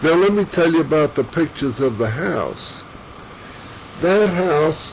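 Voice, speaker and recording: This man talks with an American accent at a fairly slow pace and a fairly high pitch, leaving long, frequent pauses. His loudness stays very even, and there is noticeable background noise. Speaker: family elder sharing memories. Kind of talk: oral history interview. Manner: halting, with false starts.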